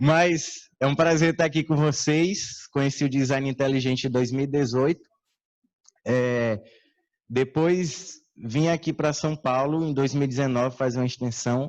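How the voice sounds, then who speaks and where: A man with a Ceará accent, fairly high pitch and fairly even intonation, at a fairly slow pace with very even loudness over a quiet background. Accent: Northeastern Brazilian (Ceará). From Ceará, Brazilian Northeast. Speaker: conference speaker. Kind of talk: lecture. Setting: stage with audience.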